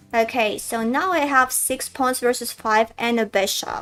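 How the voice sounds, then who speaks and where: In a Russian accent, a woman speaks at a moderate pace with a high pitch. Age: 20s. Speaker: chess streamer and coach. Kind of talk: live game commentary stream. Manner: casual, thinking aloud.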